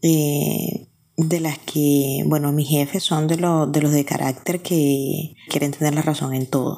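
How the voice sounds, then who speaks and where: In a Colombian coastal accent, a dark, mellow voice speaks at a very slow pace with monotone, flat intonation. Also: woman, very deep, low pitch for a woman, very even loudness. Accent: Colombian coastal (costeño). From Colombia, Barranquilla (Caribbean coast). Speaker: listener sending voice message. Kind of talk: recorded voice message.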